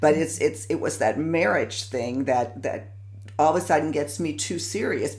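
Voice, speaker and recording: Noticeable background noise is heard throughout. The speaker keeps a moderate pace. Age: 60s. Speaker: interview show host. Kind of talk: casual interview chat.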